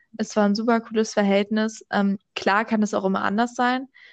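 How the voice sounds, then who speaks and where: A woman's medium-pitched voice in a flat monotone at a moderate pace. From Berlin, Germany. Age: young. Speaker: podcast host. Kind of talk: casual chat. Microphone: microphone problems.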